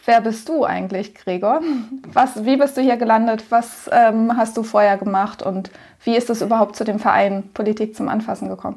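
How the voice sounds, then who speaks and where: With noticeable background noise behind her, a woman speaks at a moderate pace in a fairly high pitch and fairly even intonation. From Lower Saxony, near Hannover. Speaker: podcast co-host, youth civic education facilitator. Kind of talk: casual chat.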